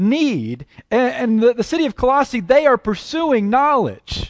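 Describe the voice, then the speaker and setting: With an American accent, a man with an extremely high pitch talks at a fairly slow pace and with lively intonation, his sound dry and close with no echo over a quiet background. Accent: Southern US, toned down. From Texas and Oklahoma. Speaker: preacher. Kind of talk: sermon. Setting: church.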